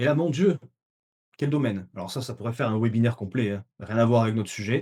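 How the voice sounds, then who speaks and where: A man's somewhat breathy, dark, mellow voice at a medium pitch and a very fast pace. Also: ordinary pitch variation. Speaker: dietitian and webinar trainer. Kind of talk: webinar lecture. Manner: hesitant, many fillers.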